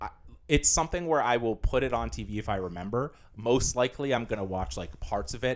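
Vocal fry marks a man's fairly low voice, which swings very widely in pitch at a very fast pace. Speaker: podcast co-host. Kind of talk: casual chat.

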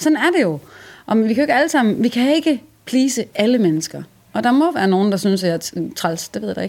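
A woman's fairly high voice with very wide pitch swings at a very fast pace, on a very clean recording with a silent background. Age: young. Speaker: singer-songwriter. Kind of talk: stage banter and interview. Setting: music venue.

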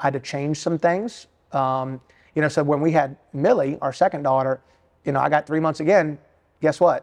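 With an American accent, the speaker talks at a moderate pace with ordinary pitch variation against a quiet background. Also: man, fairly high pitch for a man. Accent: Southern US, sounds like Alabama. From US South, Richmond, Virginia. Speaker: bivocational pastor and bank executive. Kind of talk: casual interview chat.

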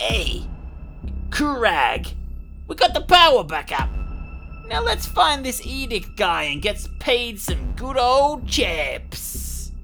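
A put-on character voice speaks at a very slow pace with long, frequent pauses. Clear music plays in the background. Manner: casual, eager.

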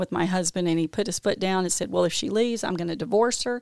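In a Mississippi accent, a woman speaks fairly quickly with lively intonation, recorded dry and close with no echo on a very clean, silent background. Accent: US Southern (Mississippi). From Mississippi, Jackson. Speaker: recovery advocate, health executive. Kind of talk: casual interview chat. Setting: studio.

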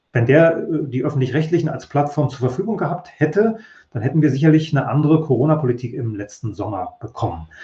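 A man with a fairly high voice and a dark, mellow tone talks at a very fast pace, somewhat breathy, with lively intonation and big swings in loudness. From East Germany. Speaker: professor of communication studies. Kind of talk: interview.

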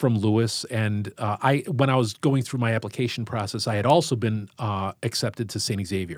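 On a very clean recording with a silent background, the sound is dry and close with no echo. A man with a Chicago accent speaks at a moderate pace and medium pitch with ordinary pitch variation. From US Midwest, Chicago Southwest side. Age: 50s. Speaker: high school English teacher. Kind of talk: casual interview conversation.

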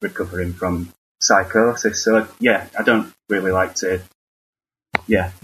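A man's fairly low voice in a Northern English accent, at a fairly slow pace with fairly even intonation and long, frequent pauses. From northern England. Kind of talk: casual chat. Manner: hesitant, halting.

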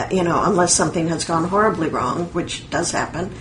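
Noticeable background noise sits behind a woman whose medium-pitched voice shows ordinary pitch variation. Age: 60s. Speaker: author and writing teacher. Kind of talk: casual interview.

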